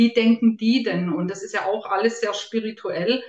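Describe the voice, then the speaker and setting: Her voice somewhat breathy, a woman speaks at a moderate pace with ordinary pitch variation. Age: 50s. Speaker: health coach and nutrition expert. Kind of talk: interview.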